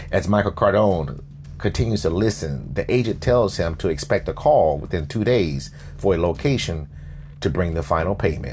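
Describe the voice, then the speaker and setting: A very deep, low-voiced man in a dramatic tone, with lively intonation at a moderate pace, music in the background. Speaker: fiction podcast narrator and host. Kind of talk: dramatic scripted narration of a crime drama, present tense. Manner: tense, urgent, gripping storyteller pacing with dramatic pauses; serious, measured newsreel-style delivery.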